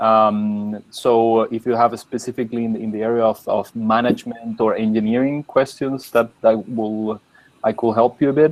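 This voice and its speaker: This man speaks in a Spanish accent. His intonation is monotone and flat. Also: medium pitch for a man, moderate pace. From Chile. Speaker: postdoctoral researcher. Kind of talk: online panel discussion. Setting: video call.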